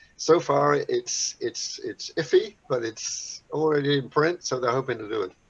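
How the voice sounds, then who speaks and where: Noticeable background noise sits under a man's voice. He speaks at a moderate pace with hardly any pauses. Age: 80s+. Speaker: motorcycle racing volunteer. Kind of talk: casual chat. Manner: halting, repeats words.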